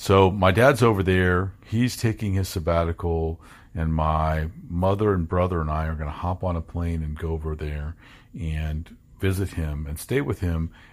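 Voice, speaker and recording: Very deep and low, a man's voice moves at a fairly slow pace with ordinary pitch variation. The recording is very clean, with a silent background. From Kentucky, US. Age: 40s. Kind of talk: personal storytelling. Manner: halting.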